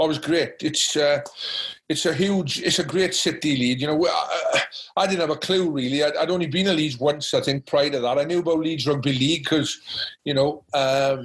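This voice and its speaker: A man with a Welsh accent speaks at a moderate pace and very even loudness, his pitch fairly high and his intonation fairly even. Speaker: rugby coach and former international player. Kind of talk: podcast interview answer. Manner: passionate.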